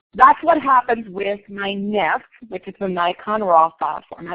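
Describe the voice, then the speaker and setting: A woman's normal speaking voice at medium pitch, with ordinary pitch variation at a moderate pace. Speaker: photography instructor. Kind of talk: lecture. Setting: classroom.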